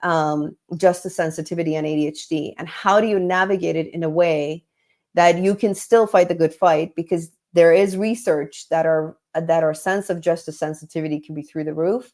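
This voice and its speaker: Fairly low pitch from a woman, her intonation fairly even. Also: big swings in loudness. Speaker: executive coach. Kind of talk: live webinar talk. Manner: fast.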